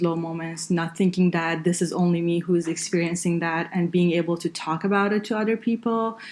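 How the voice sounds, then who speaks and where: Speaking fairly quickly with an Iranian accent, a woman uses a fairly low pitch and fairly even intonation. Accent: Iranian (Persian) accent in English. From northern Iran. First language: Farsi. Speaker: engineer and healthcare consultant. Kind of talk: podcast interview. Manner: hesitant, many fillers.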